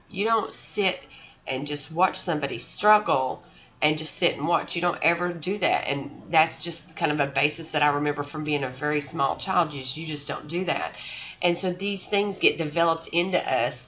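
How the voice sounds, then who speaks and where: Room echo is audible as a woman talks at a moderate pace. Her voice is fairly low-pitched, with a bright, sharp tone. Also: ordinary pitch variation. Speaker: college instructor. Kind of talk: lecture. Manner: casual with many fillers.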